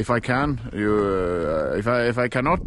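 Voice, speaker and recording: In a normal speaking voice, a man talks at a fairly low pitch with ordinary pitch variation, the sound dry with no echo and light background noise behind him. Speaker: vlogger. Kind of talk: casual vlog chat. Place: open country. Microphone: phone near.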